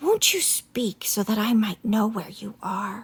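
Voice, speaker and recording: A woman whispers softly in a put-on character voice, with a hissing quality. She takes a fairly slow pace. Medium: read story. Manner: calm, gentle.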